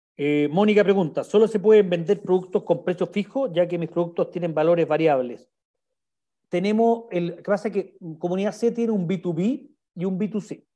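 Against a quiet background, a man with a Chilean accent speaks at a moderate pace and a high pitch. His tone is dark and mellow, with ordinary pitch variation. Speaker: sales director giving a webinar talk. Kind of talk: online presentation / webinar with Q&A. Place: home room. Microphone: video call.

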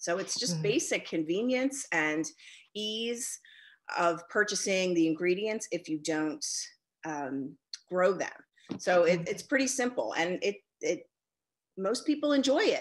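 Over a quiet background, a woman speaks at a fairly slow pace with long, frequent pauses. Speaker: guest. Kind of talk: interview answer. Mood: friendly, relaxed, laughing. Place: home room. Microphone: video call.

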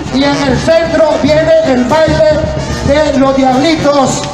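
A man at a very slow pace with music in the background. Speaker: event announcer. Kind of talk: commentary. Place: street.

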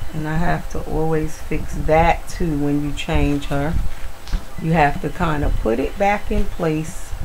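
A woman speaks at a very deep, low pitch and a fairly slow pace. Her intonation stays fairly even over light background noise. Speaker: video blogger, reborn doll collector. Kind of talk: casual vlog tutorial. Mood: warm, affectionate. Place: home room.

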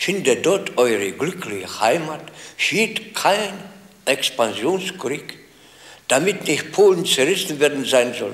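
At a very slow pace full of long, frequent pauses, a man speaks with a fairly high pitch and very wide pitch swings. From Upper Silesia, Zabrze; Upper Silesia. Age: 70s. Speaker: war veteran; interviewee. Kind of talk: interview.

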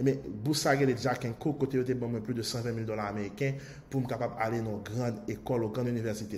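With ordinary pitch variation, the voice sounds somewhat breathy and has a dark, mellow tone. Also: man. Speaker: online marketing course promoter. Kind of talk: sales pitch.

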